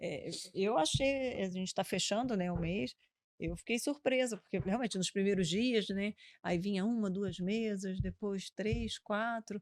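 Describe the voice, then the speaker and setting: A woman's medium-pitched voice at a fairly slow pace, with ordinary pitch variation, in a very clean recording with a silent background. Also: dry, close sound with no echo. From Rio de Janeiro, Brazil, moved around. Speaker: restaurant owner. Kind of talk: podcast interview. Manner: animated.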